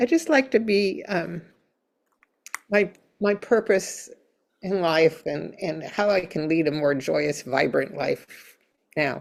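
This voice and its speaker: A woman talks at a very slow pace with long, frequent pauses. Her pitch is medium. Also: lively intonation. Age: 80s+. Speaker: client of a healer. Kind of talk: consultation. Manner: halting.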